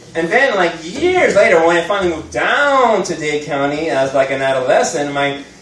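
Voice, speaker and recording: Lively intonation in an American accent, with noticeable background noise. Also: man. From Miami, Florida. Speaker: stand-up comedian. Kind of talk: live stand-up comedy set. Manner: casual, conversational, jokey.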